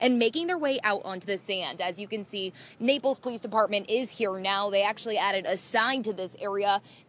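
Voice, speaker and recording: A woman talks at a fairly quick pace with hardly any pauses and ordinary pitch variation. The sound is dry, with no echo. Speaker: TV news reporter. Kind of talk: live news report. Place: street. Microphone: lapel.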